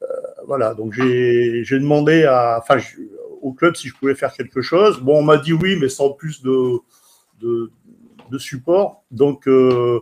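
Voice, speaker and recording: Speaking at a very slow pace with long, frequent pauses, a man has a medium pitch and ordinary pitch variation. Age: 60s. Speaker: CB radio enthusiast and author. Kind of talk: personal account on a radio event. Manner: halting, many hesitations.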